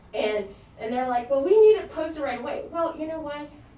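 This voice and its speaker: Her pitch swings very widely as this woman talks over noticeable background noise, with room echo audible. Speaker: county commissioner. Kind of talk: public meeting. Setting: meeting room with plexiglass, masked. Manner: loud.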